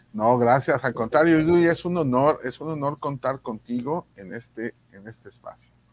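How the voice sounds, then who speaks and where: In a dry sound with no echo, a man speaks at a moderate pace with hardly any pauses and ordinary pitch variation. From Mexico. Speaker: reading promoter and online show host. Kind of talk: casual panel conversation; guest introduction. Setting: video call. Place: home room. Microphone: video call.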